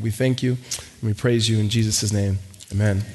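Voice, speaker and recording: Over noticeable background noise, a man with an American accent talks at a fairly quick pace in a medium pitch, his intonation monotone and flat. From Los Angeles. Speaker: pastor. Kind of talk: sermon. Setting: church. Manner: fast talker.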